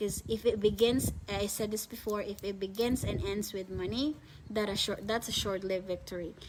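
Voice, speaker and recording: A woman speaks with a Filipino accent at a moderate pace. Her pitch is medium and her intonation fairly even. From Philippines. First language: Filipino language. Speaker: online reseller business owner. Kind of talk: live stream chat. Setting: live video stream. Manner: halting.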